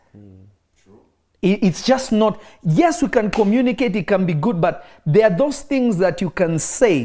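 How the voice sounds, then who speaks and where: Lively in intonation, a man speaks at a fairly slow pace with a high pitch. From Kenya. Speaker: pastor. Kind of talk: sermon. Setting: online live stream.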